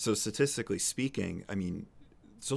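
Speaking with an American accent in a normal speaking voice, a man talks at a fairly quick pace and a fairly low pitch. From New Hampshire, US. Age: 30s. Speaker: financial advisor. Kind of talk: interview.

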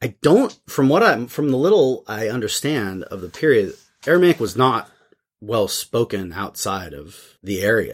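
On a very clean recording with a silent background, a man speaks at a fairly slow pace in a medium pitch with very wide pitch swings. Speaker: seminary professor and podcast host. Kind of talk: casual theological discussion. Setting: studio. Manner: loud.

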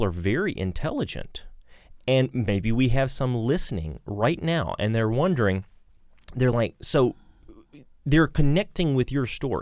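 A man's ordinary speaking voice, medium in pitch, at a fairly slow pace with lively intonation. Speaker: podcast host. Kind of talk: interview conversation.

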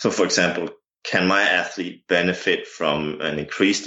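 A man speaks with a Danish accent. His pace is fairly slow. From Denmark. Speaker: jumps coach and university lecturer. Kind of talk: interview.

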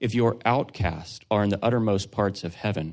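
A man speaks in an ordinary speaking voice at a fairly low pitch with ordinary pitch variation. The background is quiet. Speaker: scripture reader. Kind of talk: reading aloud.

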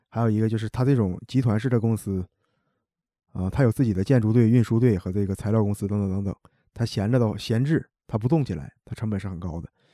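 Speaking at a very fast pace with a Northeastern Chinese accent, a man has a fairly low pitch and a dark, mellow tone, with dry, close sound and no echo in a very clean recording over a silent background. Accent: Northeastern Mandarin. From Heilongjiang, Hegang (Northeast China). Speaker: construction materials worker. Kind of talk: casual chat.

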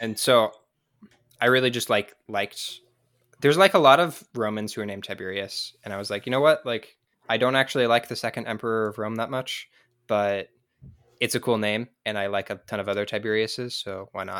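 An ordinary speaking voice from a man with an American accent, medium in pitch, fairly quick, with ordinary pitch variation on a very clean recording with a silent background. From US West Coast (San Diego). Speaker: podcast guest, history enthusiast. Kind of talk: casual chat.

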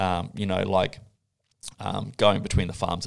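A man with a very deep, low pitch and vocal fry speaks in an Australian accent at a fairly quick pace with ordinary pitch variation. The recording is very clean, with a silent background. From Australia, Gold Coast. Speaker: coffee judge. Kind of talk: casual chat.

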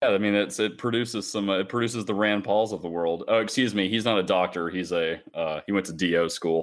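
Speaking at a fairly quick pace with hardly any pauses, a man uses an unremarkable speaking voice, fairly low in pitch with ordinary pitch variation. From US South, Charlotte, North Carolina. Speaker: nursing assistant. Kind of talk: casual chat.

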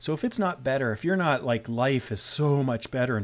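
A man speaks in a plain, everyday voice with a Canadian accent, at a medium pitch and fairly quick pace, with lively intonation. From Canada. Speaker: rural emergency physician, medical educator. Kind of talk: interview discussion. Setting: video call.

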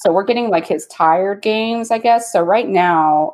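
A woman with a plain, everyday voice speaks with lively intonation. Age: 30s. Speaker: lawyer and pinball player. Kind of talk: casual chat.

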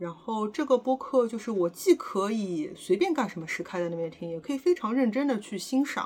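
Her fairly high, somewhat breathy voice swings very widely in pitch as the woman talks at a fairly quick pace with hardly any pauses. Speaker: podcast co-host. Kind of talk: casual chat. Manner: hesitant, many fillers.

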